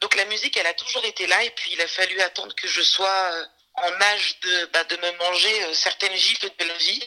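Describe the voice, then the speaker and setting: A woman speaks at medium pitch and a moderate pace, in a normal speaking voice with ordinary pitch variation. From France, Saint-Denis. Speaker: music manager and trainer. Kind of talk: interview.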